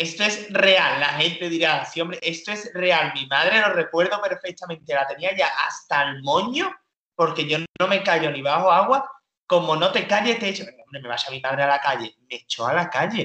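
With an Andalusian accent, a man speaks in a high, animated voice with lively intonation. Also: moderate pace. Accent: peculiar Andalusian. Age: 20s. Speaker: comedian. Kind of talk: casual chat.

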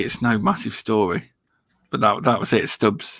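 An East Midlands accent at a fairly quick pace. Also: man. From Leicestershire, England.

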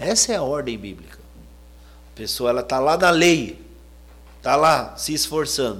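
A man with a fairly high pitch and vocal fry talks in an animated tone. He goes at a fairly slow pace with long, frequent pauses. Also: lively intonation. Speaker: preacher. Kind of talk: sermon. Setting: church.

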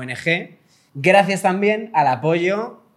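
A man speaking at a very slow pace. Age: 30s. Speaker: podcast co-host. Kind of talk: casual chat.

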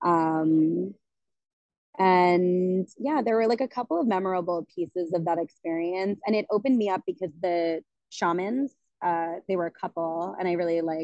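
With a normal speaking voice, a woman talks at a medium pitch. Her pitch variation is ordinary and her pace moderate. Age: 30s. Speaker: colon hydrotherapist. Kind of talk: casual chat.

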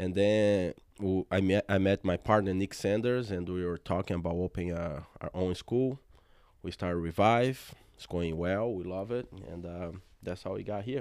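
A man with a Brazilian Portuguese accent talks at a moderate pace in a very deep, low pitch. His pitch varies in an ordinary way, and the background is quiet. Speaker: jiu-jitsu gym owner. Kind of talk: casual interview chat.

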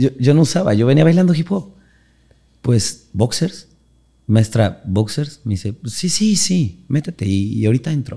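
A man's voice sits at a medium pitch, dark and mellow in tone. It is somewhat breathy, with very wide pitch swings. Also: fairly slow pace. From Mexico, Orizaba, Veracruz. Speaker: dance teacher and choreographer. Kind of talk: casual interview.

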